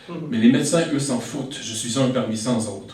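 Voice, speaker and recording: A man with a Quebec accent speaks at a moderate pace with fairly even intonation over noticeable background noise. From Quebec, Saint-Sulpice area. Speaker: slam poet. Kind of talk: slam poetry performance. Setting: stage with audience.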